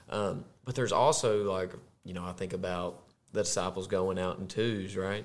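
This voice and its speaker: In a Southern US accent, a man speaks at a moderate pace with a very deep, low pitch. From US South, Arkansas. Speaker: podcast co-host, corporate employee. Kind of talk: casual chat, faith testimony.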